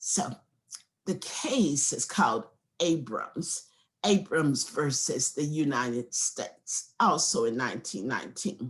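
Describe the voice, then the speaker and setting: A woman speaks at a very slow pace with a very deep, low pitch. Her voice is somewhat breathy, with very wide pitch swings. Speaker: law professor. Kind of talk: lecture. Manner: animated.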